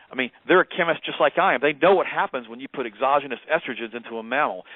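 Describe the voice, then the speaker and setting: Ordinary pitch variation at a very fast pace. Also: man. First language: German. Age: 50s. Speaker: health expert. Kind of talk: interview. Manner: animated.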